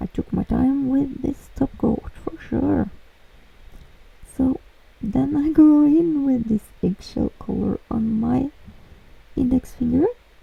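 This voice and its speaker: Speaking with a Norwegian accent, a woman has a high pitch and ordinary pitch variation. Her pace is very slow, with long, frequent pauses. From Norway. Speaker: nail art youtuber. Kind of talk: tutorial voiceover. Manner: casual, hesitant with fillers.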